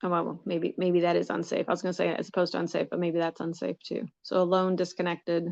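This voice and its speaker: A woman's fairly low voice with vocal fry, monotone and flat in intonation, in a dry, close sound with no echo over a quiet background. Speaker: coaching client. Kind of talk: live coaching session. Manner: halting, many false starts.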